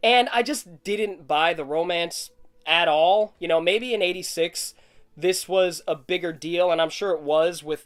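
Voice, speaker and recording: Fairly slow pace, ordinary pitch variation. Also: man, high pitch for a man. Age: 30s. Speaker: film vlogger. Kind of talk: casual video journal monologue.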